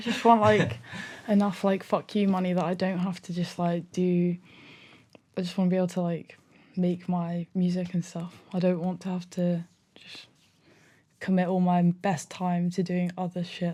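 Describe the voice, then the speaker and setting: A woman talks with a fairly low pitch and a dark, mellow tone, somewhat breathy and flat in a monotone. Her long, frequent pauses sit on a very clean recording with a silent background. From Edinburgh. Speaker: musician. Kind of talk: podcast interview answer. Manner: casual, conversational.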